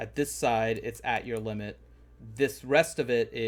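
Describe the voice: Aloud, a plain reading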